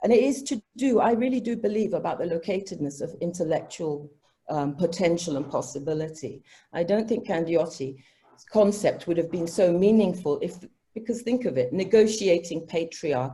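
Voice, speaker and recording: Her tone is dark and mellow, somewhat breathy, and fairly low in pitch. This woman speaks at a moderate pace with lively intonation. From Africa. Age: 60s. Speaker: professor. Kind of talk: academic panel discussion.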